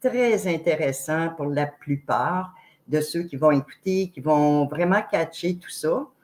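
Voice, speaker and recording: A woman speaks with a Quebec accent at a very slow pace. Her pitch is fairly low. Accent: Québécois French. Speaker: online show host. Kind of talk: interview introduction. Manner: loud; very expressive.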